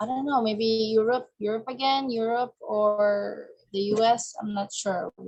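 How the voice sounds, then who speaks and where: The speaker has a non-native accent and fairly even intonation. The pace is fairly slow. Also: woman, fairly high pitch for a woman. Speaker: coaching client. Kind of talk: coaching session. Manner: halting.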